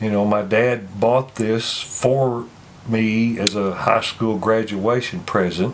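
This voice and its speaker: Against noticeable background noise, a man talks at a very slow pace with a medium pitch and fairly even intonation. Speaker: car owner. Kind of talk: casual interview. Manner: halting, many fillers.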